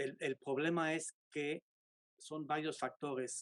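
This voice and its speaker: A man's very slow, monotone delivery with flat intonation, in a dry, close sound with no echo. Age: 70s. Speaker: sculptor. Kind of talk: interview.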